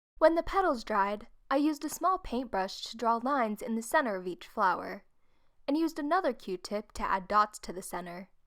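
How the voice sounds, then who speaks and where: A woman talks at a fairly quick pace with a fairly high pitch, very wide pitch swings and big swings in loudness. The recording is very clean, with a silent background. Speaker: art YouTuber. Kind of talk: craft tutorial voice-over.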